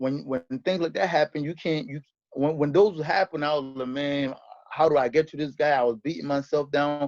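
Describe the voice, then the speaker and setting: A fairly high-pitched man, heard with a dry, close sound and no echo. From Rhode Island, US (born in Liberia). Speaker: professional boxer. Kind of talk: interview. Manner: halting, with restarts.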